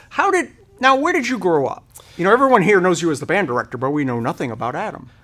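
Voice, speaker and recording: Noticeable background noise sits behind a man with a high pitch. He speaks very fast, his pitch swinging very widely. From Rhode Island. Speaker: local podcast host. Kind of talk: casual chat interview.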